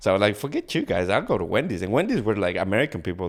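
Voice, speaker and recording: A man speaks with a Spanish accent. The recording is very clean, with a silent background. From Ecuador. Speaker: podcast guest. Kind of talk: casual interview chat. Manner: halting, many repeated words.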